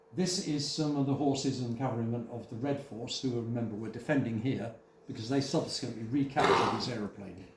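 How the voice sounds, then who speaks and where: A man talks fairly quickly, his pitch varying in an ordinary way against noticeable background noise. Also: medium pitch for a man. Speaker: museum volunteer guide. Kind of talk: live guided talk to visitors. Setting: indoor hall with audience.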